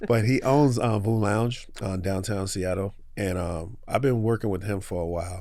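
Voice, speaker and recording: With audible room echo, a man in an American accent talks at a moderate pace in a fairly low, dark, mellow voice with ordinary pitch variation. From New York. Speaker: small business owner. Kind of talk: podcast interview. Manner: casual.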